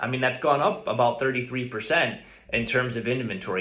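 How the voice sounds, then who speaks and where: A man's voice with audible room echo. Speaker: real estate agent. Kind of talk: market update video.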